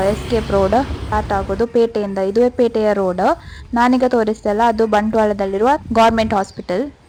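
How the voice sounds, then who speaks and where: Music plays in the background as a woman at fairly high pitch speaks with monotone, flat intonation and very even loudness. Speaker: vlogger. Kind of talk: vlog narration.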